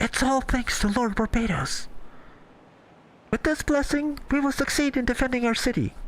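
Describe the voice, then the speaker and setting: A put-on character voice from a woman, high-pitched and breathy, at a moderate pace with long, frequent pauses. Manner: airy, breathy delivery.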